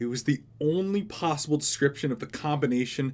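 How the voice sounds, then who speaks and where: A man with a normal speaking voice, a moderate pace and ordinary pitch variation. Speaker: audiobook narrator. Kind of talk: audiobook reading.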